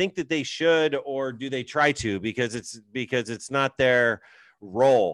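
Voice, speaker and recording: A man's plain, everyday voice of medium pitch, dry and close with no echo, against a quiet background. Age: 40s. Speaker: podcast host and real estate agent. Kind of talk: casual chat.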